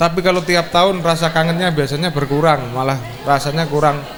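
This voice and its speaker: Amid audible room echo and noticeable background noise, a man with a fairly high pitch speaks at a moderate pace with fairly even intonation. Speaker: school reunion speaker. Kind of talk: speech.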